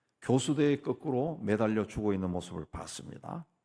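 Recorded very cleanly against a silent background, a man with a fairly low pitch lets his voice swing very widely in pitch. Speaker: pastor. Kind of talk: sermon.

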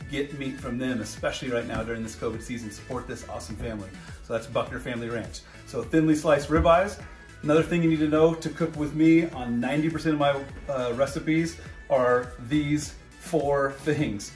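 Faint music plays in the background as the speech moves at a fairly quick pace with ordinary pitch variation. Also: man. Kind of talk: casual cooking tutorial. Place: kitchen. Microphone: phone near.

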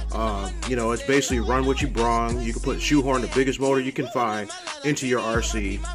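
A man talks at a moderate speed while clear music can be heard behind him. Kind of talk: casual vlog chat. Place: home room. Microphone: phone near.

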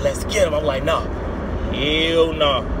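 A man's moderate-paced speech competes with loud background noise. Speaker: storyteller. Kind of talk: casual vlog chat. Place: car. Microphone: phone near.

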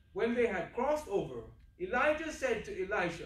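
A man at a moderate pace, with lively intonation and audible room echo. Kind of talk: scripture reading. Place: church.

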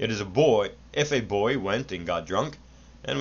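The speaker uses a natural reading voice. That voice carries the whole clip.

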